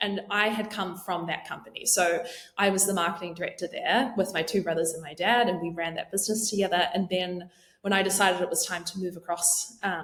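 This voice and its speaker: A woman with a New Zealand accent, fairly even intonation and a fairly quick pace. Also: medium pitch for a woman. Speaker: marketing leader. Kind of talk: podcast interview.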